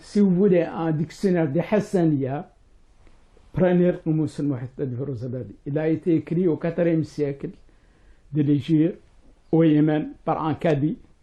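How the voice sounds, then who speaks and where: A man with a Mauritanian accent speaks at a fairly high pitch and a fairly slow pace. He leaves long, frequent pauses, with ordinary pitch variation. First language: Hassaniya Arabic (speaking French). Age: 60s. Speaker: writer and professor. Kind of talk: interview. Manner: hesitant, many fillers.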